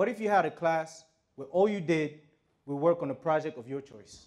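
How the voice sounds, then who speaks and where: At a moderate pace, a man speaks with a quiet background behind him. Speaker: speaker. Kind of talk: talk to an audience. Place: hall. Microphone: lapel.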